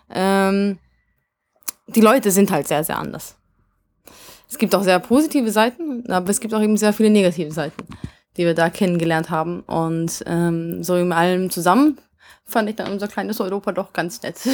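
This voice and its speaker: At a moderate pace and a medium pitch, a woman talks with ordinary pitch variation and long, frequent pauses, in a very clean recording with a silent background. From Vienna, Austria, then Hungary. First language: Hungarian (speaking German). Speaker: rock band singer. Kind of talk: interview. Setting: backstage at concert venue.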